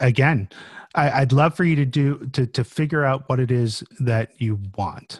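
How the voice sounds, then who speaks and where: A man with an American accent speaks at a fairly slow pace and a medium pitch, sounding somewhat breathy. The background is quiet, the sound dry and close with no echo, and his loudness stays very even. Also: ordinary pitch variation. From Florida. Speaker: project manager and author. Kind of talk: casual interview. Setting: video call.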